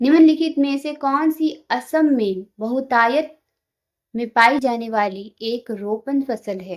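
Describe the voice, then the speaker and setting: This woman speaks with a high pitch and ordinary pitch variation. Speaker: quiz tutor for exam preparation. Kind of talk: reading out quiz questions and answers. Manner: halting while reading.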